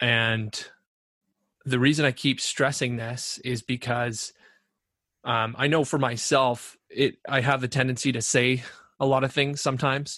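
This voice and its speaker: Over a quiet background, a man with a Canadian accent talks at a fairly slow pace in a bright, sharp tone, his intonation monotone and flat, broken by long, frequent pauses. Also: medium pitch for a man. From Canada (Ontario). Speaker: podcast co-host. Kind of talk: casual chat.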